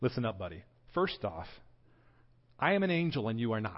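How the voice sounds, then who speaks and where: Putting on a character voice, a man speaks at medium pitch and a fairly quick pace. His pitch swings very widely. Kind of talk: casual, blunt. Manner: confrontational.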